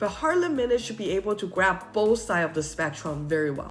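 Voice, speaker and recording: Music plays behind a woman talking at a fairly quick pace. Her pitch swings very widely. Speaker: wine seller and educator. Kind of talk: casual talk to camera about wine.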